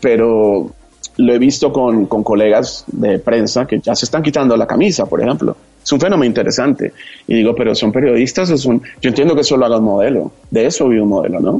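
This man has a dark, mellow tone at a medium pitch, with ordinary pitch variation. He moves at a fairly quick pace, his loudness very even. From Colombia, Bogotá. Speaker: TV entertainment journalist. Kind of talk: casual interview chat.

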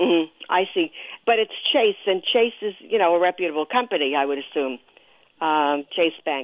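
A plain, everyday voice, a woman with an American accent speaks at a fairly low pitch and moderate pace with lively intonation. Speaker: caller. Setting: phone call.

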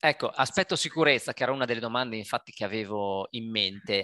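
The voice is bright and sharp, moving at a very fast pace in a dry, close sound with no echo against a quiet background. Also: man. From Italy. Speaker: podcast host interviewing expats. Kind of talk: interview via video call.

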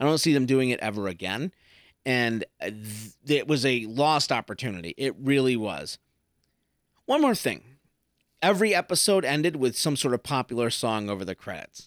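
A man talks at a moderate pace, medium in pitch, with lively intonation. It is an ordinary speaking voice on a very clean recording with a silent background. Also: dry, close sound with no echo. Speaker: podcast host. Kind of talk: casual solo review. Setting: home recording.

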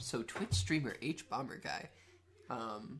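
Very slowly, a man speaks in a somewhat breathy voice, his pitch swinging very widely. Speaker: podcast co-host. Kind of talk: casual chat. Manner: animated.

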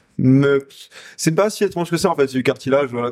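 This is a normal speaking voice with lively intonation. The recording is very clean with a silent background, and the sound is dry and close with no echo. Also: man. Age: 20s. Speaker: chef and restaurant co-owner. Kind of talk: casual interview chat.

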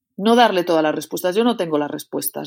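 Over a silent background in a very clean recording, a woman speaks at a fairly low pitch with ordinary pitch variation. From Spain, León region. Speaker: poet, novelist and creative writing professor. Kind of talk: interview. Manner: halting, many fillers and repetitions.

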